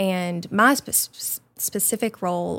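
A woman speaks with an Arkansas accent. The recording is very clean, with a silent background. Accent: US Southern (Arkansas). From rural Arkansas, near Mountain View. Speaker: foundation staff member. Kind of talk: interview. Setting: studio.

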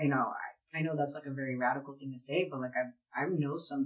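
A woman with an American accent, a very deep, low pitch, fairly even intonation and a fairly quick pace. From US Northeast, West Philadelphia. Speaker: paralegal. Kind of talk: casual interview.

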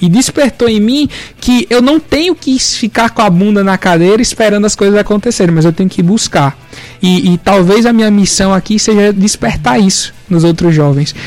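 A man's high-pitched voice at a moderate pace, with lively intonation and very even loudness, over music in the background. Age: 20s. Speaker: young entrepreneur and law student. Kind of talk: radio interview.

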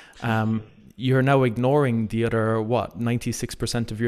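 A medium-pitched man at a very fast pace, in monotone, flat intonation. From Ireland. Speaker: fitness coach. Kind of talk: casual interview chat.

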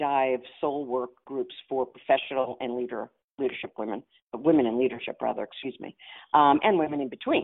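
A woman with a New York accent speaks at a moderate pace in a very deep, low voice. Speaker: futurist and coach. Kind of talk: casual interview chat.

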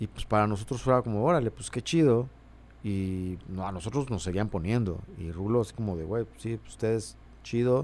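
In a normal speaking voice, a man talks at a fairly low pitch and moderate pace, with ordinary pitch variation and big swings in loudness. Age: 40s. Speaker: musician. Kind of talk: casual chat.

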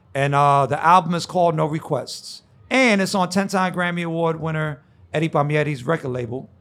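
Speaking fairly quickly with an American accent, a man in a plain, everyday voice, fairly high-pitched for a man, uses ordinary pitch variation on a very clean recording with a silent background. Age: 50s. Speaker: DJ and basketball announcer. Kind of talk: casual chat.

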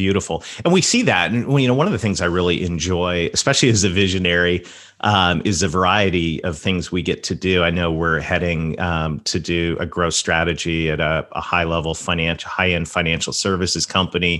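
A man with a Southern US accent talks at a fairly quick pace in a very deep, low voice. His tone is bright and sharp, with fairly even intonation. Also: hardly any pauses. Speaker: podcast host. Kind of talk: interview conversation.

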